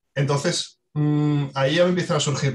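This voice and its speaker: Somewhat breathy, the voice keeps a fairly even intonation. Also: man. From Asturias, Spain. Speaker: water footprint specialist. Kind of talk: podcast discussion.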